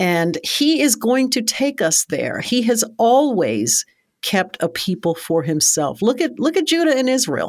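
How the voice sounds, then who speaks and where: At a fairly slow pace, a woman with an American accent and a fairly high pitch swings very widely in pitch and uses vocal fry, in a very clean recording with a silent background. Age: 50s. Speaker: seminary director and persecution expert. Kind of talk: interview conversation.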